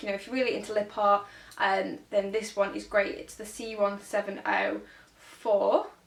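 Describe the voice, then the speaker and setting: A woman speaks in a northern English accent. Noticeable background noise runs underneath. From northern England. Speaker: make-up artist. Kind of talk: tutorial. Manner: fast; casual, hesitant with many ums.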